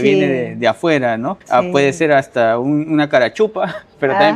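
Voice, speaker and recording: Noticeable background noise surrounds this man. His fairly high voice has lively intonation. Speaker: literary interviewer and host. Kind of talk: interview questions.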